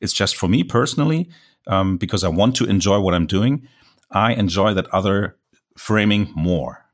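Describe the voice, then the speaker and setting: In a very clean recording with a silent background, a man with a German accent speaks at a moderate pace, fairly low in pitch, with ordinary pitch variation and very even loudness. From Germany. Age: 40s. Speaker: landscape photographer. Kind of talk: interview.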